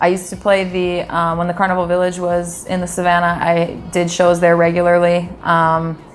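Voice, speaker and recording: Hardly pausing, a woman speaks at a moderate pace with a fairly low pitch and monotone, flat intonation, with audible room echo around her. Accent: American. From US Midwest, Wisconsin. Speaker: singer. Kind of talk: interview. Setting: Trinidad.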